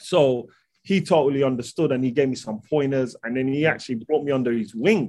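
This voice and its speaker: Speaking with a London accent, a man has a dark, mellow tone and ordinary pitch variation. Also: medium pitch for a man. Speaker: holistic nutrition practitioner. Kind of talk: casual interview.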